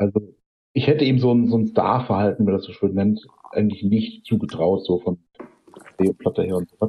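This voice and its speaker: Speaking at a fairly quick pace with long, frequent pauses, a man with a fairly low, somewhat breathy voice shows ordinary pitch variation and big swings in loudness. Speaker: podcast co-host and photographer. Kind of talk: casual chat.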